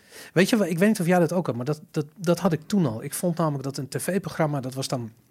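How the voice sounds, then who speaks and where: This man's intonation is lively, and his pace is fairly quick. His voice comes across somewhat breathy. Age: 40s. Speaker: podcast host. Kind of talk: casual chat. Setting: studio. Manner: stammering, repeats words.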